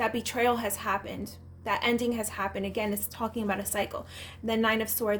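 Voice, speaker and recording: Her fairly high-pitched voice carries vocal fry and a monotone, flat intonation. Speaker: tarot reader. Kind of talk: tarot reading. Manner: mumbling; halting.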